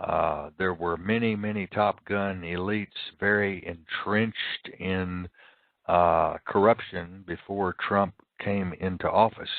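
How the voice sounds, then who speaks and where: Monotone and flat, a man with a fairly low pitch speaks at a very slow pace. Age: 60s. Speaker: internet radio host. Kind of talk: solo talk radio monologue. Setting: live internet radio broadcast.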